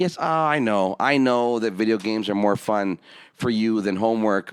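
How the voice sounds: A man speaks at a moderate pace in a clear, smooth tone. His pitch is fairly low, with ordinary variation.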